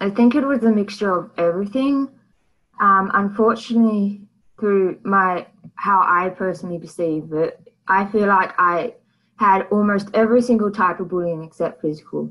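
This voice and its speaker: An Australian accent marks this woman's medium-pitched voice, which has ordinary pitch variation. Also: moderate pace. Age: 20s. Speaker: guest sharing mental health story. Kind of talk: interview.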